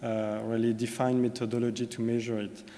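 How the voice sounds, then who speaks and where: A man at medium pitch and a moderate pace, monotone and flat in intonation, with audible room echo. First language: French. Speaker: corporate sustainability manager. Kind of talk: conference presentation. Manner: hesitant, many fillers.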